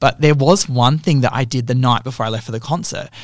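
Speaking at a very fast pace, a man with an Australian accent has a medium pitch and fairly even intonation. His voice sounds somewhat breathy. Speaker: podcast co-host. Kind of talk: casual chat.

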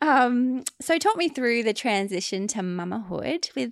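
The recording is very clean, its background silent. On it, a woman talks with an Australian accent. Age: 30s. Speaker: podcast host. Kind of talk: interview questions; casual chat.

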